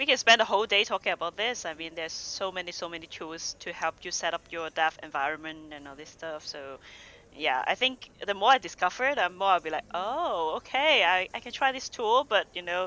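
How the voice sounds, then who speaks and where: Fairly quick speech in a non-native accent, with hardly any pauses. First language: not English. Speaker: developer advocate. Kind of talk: casual chat. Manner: halting.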